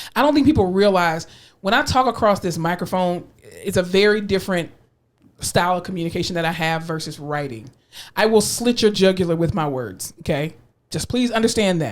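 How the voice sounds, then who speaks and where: Using a slight South Florida accent, a woman talks at a fairly quick pace in a medium pitch, with an animated tone and lively intonation. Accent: slight South Florida twang. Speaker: podcast co-host. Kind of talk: casual chat.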